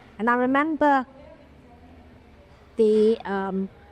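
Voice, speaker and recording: Speaking with a British accent, a woman with a fairly high pitch moves through very wide pitch swings. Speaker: film producer. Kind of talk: interview answer.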